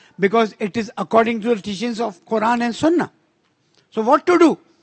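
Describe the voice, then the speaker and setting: Extremely high-pitched for a man, this speaker talks with a Pakistani accent. His intonation is lively and his tone animated. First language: Urdu. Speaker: conference speaker. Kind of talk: conference speech.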